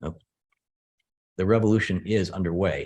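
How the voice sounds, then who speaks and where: A man with fairly low pitch speaks at a fairly quick pace with ordinary pitch variation. The recording is very clean, with a silent background. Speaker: computer scientist. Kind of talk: lecture. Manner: fast.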